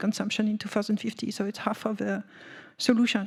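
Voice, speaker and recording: Somewhat breathy, a woman with a French accent talks at a very fast pace in a monotone, flat intonation. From France. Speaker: energy policy panelist. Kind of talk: panel discussion. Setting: conference room with audience. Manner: hesitant, many fillers.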